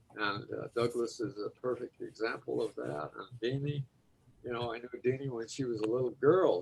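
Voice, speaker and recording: With music in the background, a man with an American accent speaks. His pace is moderate and his pitch medium. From Chicago. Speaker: Rotary club member. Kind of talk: video call meeting remarks.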